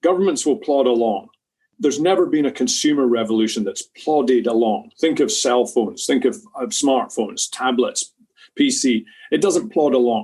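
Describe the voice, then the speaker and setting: This man's dark, mellow tone sits at a fairly high pitch, moving in very wide pitch swings at a moderate pace. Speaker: clean-tech company CEO. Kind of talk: interview.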